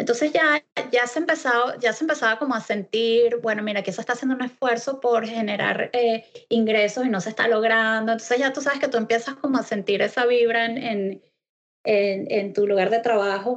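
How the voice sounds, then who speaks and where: A woman speaks in an unremarkable speaking voice, pitched fairly high, with fairly even intonation. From Venezuela. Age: 40s. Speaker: web developer. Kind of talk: interview. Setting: video call. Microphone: Skype connection.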